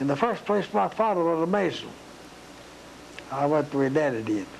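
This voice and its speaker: Over noticeable background noise, a man speaks at a fairly high pitch with lively intonation. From East Tennessee. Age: 80s+. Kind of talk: interview answer.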